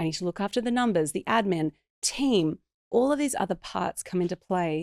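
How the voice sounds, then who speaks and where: Lively intonation marks a woman with an Australian accent talking at a fairly quick pace, on a very clean recording with a silent background and a dry, close sound with no echo. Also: medium pitch for a woman. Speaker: business coach. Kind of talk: podcast interview. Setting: podcast.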